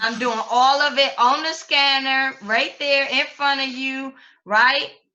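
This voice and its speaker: Raised and projected, a woman's voice sounds high-pitched with a bright, sharp tone, flat monotone intonation and a fairly slow pace. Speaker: trading course instructor. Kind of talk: online class tutorial.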